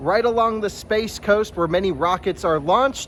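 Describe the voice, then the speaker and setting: A man's pitch varies in an ordinary way while noticeable background noise carries on. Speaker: car reviewer. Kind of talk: intro to camera.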